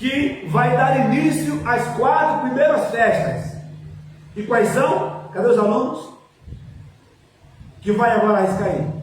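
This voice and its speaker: Amid noticeable background noise and audible room echo, a man with an extremely high pitch talks at a fairly slow pace with lively intonation. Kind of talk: lecture.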